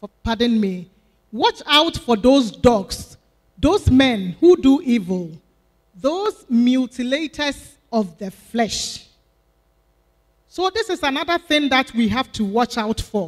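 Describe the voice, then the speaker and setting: A woman speaks at a high pitch and a very slow pace. Long, frequent pauses fill the quiet background. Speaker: deaconess preaching. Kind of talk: sermon. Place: church. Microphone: handheld.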